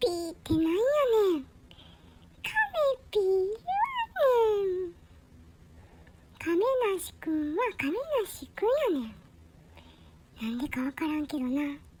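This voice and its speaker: Pitched extremely high, a put-on character voice moves at a fairly slow pace with long, frequent pauses. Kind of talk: comic pet dialogue.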